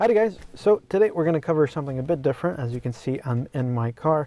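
A man speaks at a very fast pace in a dark, mellow tone. The sound is dry with no echo. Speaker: tech reviewer. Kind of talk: casual vlog chat. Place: car. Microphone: phone near.

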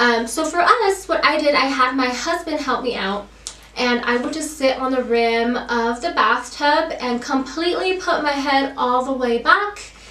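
A woman's raised, projected, high-pitched voice with lively intonation, a moderate pace, and audible room echo. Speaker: YouTube vlogger. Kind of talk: casual vlog update. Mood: friendly, helpful.

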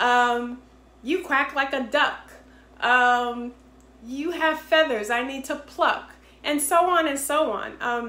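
A woman with an American accent speaks very slowly at a high pitch in a bright, sharp tone. Her raised, projected voice carries through audible room echo. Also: ordinary pitch variation. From Boston, Massachusetts. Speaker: entrepreneur and game inventor. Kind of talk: sales pitch. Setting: self-recorded video. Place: home room. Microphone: phone near.

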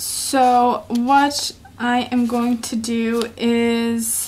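A woman's high-pitched voice with a Norwegian accent, over noticeable background noise. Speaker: YouTuber, planner hobbyist. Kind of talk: tutorial. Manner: hesitant, many fillers.

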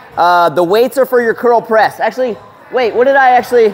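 Faint music plays in the background while the voice moves at a moderate pace. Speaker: fitness trainer. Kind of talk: workout instructions to a group. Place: gym. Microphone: lapel.

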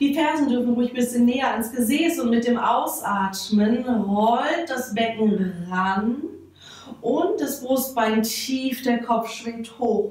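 Audible room echo surrounds a woman speaking at a very slow pace. Her voice sits at a high pitch with ordinary pitch variation. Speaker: fitness instructor. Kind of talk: exercise class instruction. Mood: calm, soothing pace.

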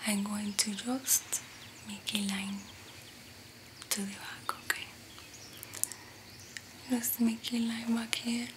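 A soft-spoken woman at a very slow pace, with long, frequent pauses and noticeable background noise. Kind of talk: ASMR roleplay talk to viewer. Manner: soft close ASMR speaking. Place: home room.

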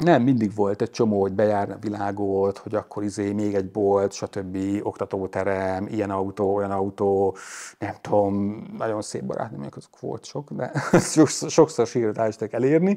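Over a quiet background, a man with a fairly low pitch and a dark, mellow tone speaks at a moderate pace with ordinary pitch variation. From Hungary. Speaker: YouTuber on electric cars. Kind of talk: casual chat. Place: garage. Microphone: lapel.

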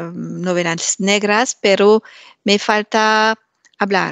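A woman speaks very slowly in a French accent. Her pitch is medium, and her intonation is monotone and flat. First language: French (speaking Spanish). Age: 50s. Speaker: Spanish language student. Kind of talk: interview. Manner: halting, many hesitations.

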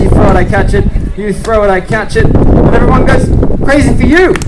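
Loud background noise behind a man talking at a fairly quick pace with ordinary pitch variation. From Australia. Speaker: street performer. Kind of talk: show patter to audience and volunteer. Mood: playful, joking. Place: street. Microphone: camera far.

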